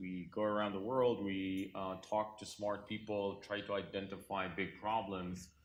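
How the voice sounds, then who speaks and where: With audible room echo, a man speaks at a fairly low pitch in a non-native accent. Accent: foreign. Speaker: cybersecurity company founder and investor. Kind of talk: conference panel talk.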